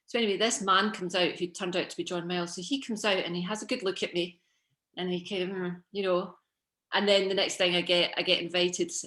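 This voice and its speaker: In a very clean recording with a silent background, a woman with a Scottish accent speaks at a fairly quick pace in a bright, sharp tone at a medium pitch. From Scotland, Coatbridge. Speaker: fashion designer and business founder. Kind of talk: casual chat. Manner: animated.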